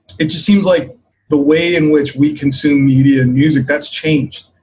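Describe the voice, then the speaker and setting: A man speaks with a fairly high pitch and a somewhat breathy quality. His intonation stays fairly even. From US, Maryland. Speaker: bass player, bandleader. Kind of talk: interview. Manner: casual, many fillers.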